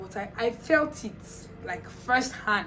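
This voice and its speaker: A woman's lively intonation amid noticeable background noise and audible room echo. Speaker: vlogger sharing personal experience. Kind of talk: casual storytelling.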